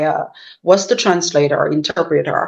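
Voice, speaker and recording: This woman speaks with a Chinese accent and a fairly low pitch. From China. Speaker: professor. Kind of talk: interview. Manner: halting, many fillers.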